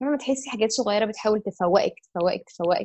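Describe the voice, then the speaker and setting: Fairly high-pitched female speech at a fairly quick pace with ordinary pitch variation. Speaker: architect and yoga teacher. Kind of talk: casual interview.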